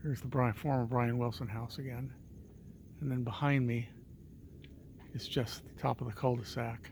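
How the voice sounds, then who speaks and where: Soft-spoken and somewhat breathy, a man at medium pitch talks at a moderate pace with fairly even intonation, long, frequent pauses and big swings in loudness. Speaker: vlogger. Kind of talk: casual vlog narration. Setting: outdoors at night on a hilltop street. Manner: quiet, soft-spoken.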